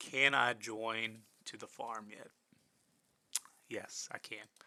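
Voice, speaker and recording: A man with a medium pitch speaks in a bright, sharp tone. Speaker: IT instructor. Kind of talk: tutorial. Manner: halting.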